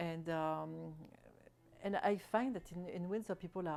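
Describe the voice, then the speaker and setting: A woman speaks with a French accent. Her pace is fairly slow, with fairly even intonation. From France. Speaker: French expatriate resident. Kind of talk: interview. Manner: halting, many repetitions and fillers.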